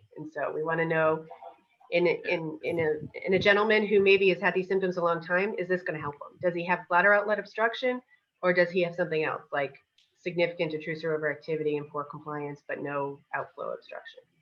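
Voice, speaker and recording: With an American accent, a woman speaks at a fairly quick pace in a fairly low pitch with ordinary pitch variation. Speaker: urologist. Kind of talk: lecture. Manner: fast.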